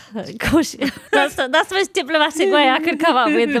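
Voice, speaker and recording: A woman's voice over noticeable background noise. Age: 40s. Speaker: stand-up comedian. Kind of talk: casual chat. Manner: animated.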